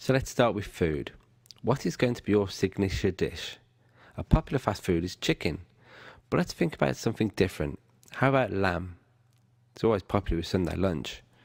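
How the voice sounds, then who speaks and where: A man with a British accent and a fairly low pitch, lively intonation and long, frequent pauses, in a very clean recording with a silent background. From Britain. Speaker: online course instructor. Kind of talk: tutorial.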